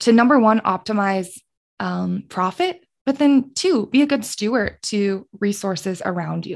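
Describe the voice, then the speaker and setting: Against a quiet background, a woman with an American accent speaks in a plain, everyday voice. Her pitch is medium with ordinary pitch variation, and her pace is fairly slow. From Colorado. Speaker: sustainability specialist and former podcast co-host. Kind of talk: casual interview.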